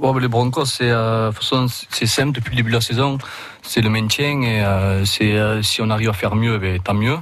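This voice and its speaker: A southern French accent at a moderate pace, with fairly even intonation, very even loudness and audible room echo. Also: man, medium pitch for a man. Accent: southern French accent in his English. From southern France. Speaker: rugby league player. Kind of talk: radio interview. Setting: radio studio.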